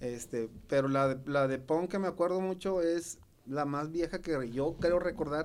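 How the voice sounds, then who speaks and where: A man with a fairly high pitch and an ordinary speaking voice talks at a fairly slow pace with ordinary pitch variation. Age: 40s. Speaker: punk musician. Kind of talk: casual chat.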